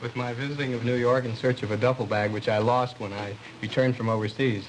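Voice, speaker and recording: A man's medium-pitched, monotone voice with flat intonation, at a very fast pace, amid noticeable background noise. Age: 20s. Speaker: bridegroom, graduate student and army veteran. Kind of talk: TV interview. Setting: TV studio with audience.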